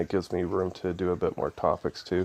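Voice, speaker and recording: A man with a very deep, low pitch and vocal fry talks at a very fast pace in a dry, close sound with no echo. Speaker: online devotional speaker. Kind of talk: devotional talk. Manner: hesitant, many fillers.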